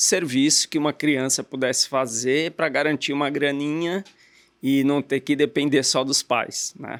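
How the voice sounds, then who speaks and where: A man speaks in an unremarkable speaking voice. The sound is dry and close, with no echo. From Brazil, Guarulhos (São Paulo area). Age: 50s. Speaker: entrepreneur, car dealer. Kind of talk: interview.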